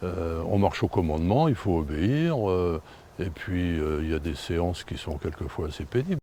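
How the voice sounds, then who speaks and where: A dark, mellow tone colors a man's voice. It sits very deep and low in pitch. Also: ordinary pitch variation, moderate pace. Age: 70s. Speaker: karate master. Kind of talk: interview. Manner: halting, many hesitations.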